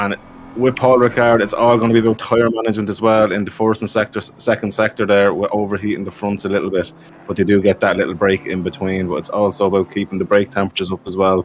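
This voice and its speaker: Talking at a very fast pace in a fairly low pitch, a man with an Irish accent is heard over noticeable background noise. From Ireland. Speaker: sim racing commentator. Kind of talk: live commentary. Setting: live stream. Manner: animated.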